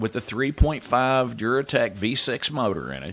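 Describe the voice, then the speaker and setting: With vocal fry, a man talks at a medium pitch. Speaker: master mechanic, radio show host. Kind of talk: radio call-in show monologue giving car advice. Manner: conversational, explanatory.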